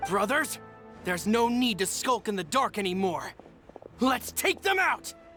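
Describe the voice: A man does a put-on character voice at high pitch with big pitch swings and a bright, sharp tone. He goes at a fairly slow pace over faint music in the background.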